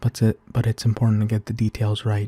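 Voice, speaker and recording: A soft-spoken man talks at a medium pitch in a dark, mellow, gentle tone that is somewhat breathy. His intonation is monotone and flat, and the sound is dry and close with no echo. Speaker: ASMR roleplay creator playing a supportive big brother. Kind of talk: ASMR comforting roleplay, soft-spoken supportive talk to the listener. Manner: soft-spoken, caring, gentle.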